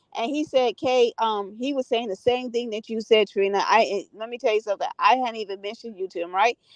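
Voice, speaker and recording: A woman with a fairly high pitch talks at a fairly quick pace in a dry, close sound with no echo. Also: ordinary pitch variation. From US. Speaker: live stream host. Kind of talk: casual chat. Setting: live stream.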